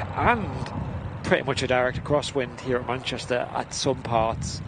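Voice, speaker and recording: A man is heard in a dry recording with no echo, under loud background noise. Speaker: livestream co-host. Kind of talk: commentary. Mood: relaxed, amused. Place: open country.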